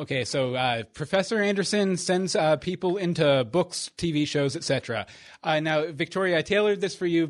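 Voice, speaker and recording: At a moderate pace over a quiet background, a man with a plain, everyday voice speaks at a fairly high pitch with ordinary pitch variation. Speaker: podcast host. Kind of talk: casual chat.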